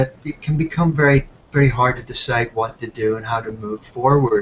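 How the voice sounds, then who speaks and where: Background music is playing. Over it, a man talks. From Ireland. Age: 60s. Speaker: health product entrepreneur. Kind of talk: webinar presentation.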